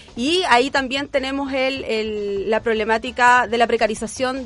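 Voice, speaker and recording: Noticeable background noise sits behind a woman speaking at a high pitch. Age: 40s. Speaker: political candidate and union leader. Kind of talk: interview. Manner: halting.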